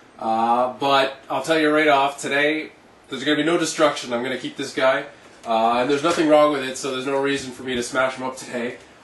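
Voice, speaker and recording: Echo from the room is audible here. The man's voice is fairly high in pitch. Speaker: collectibles reviewer. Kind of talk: product review monologue. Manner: fast; animated.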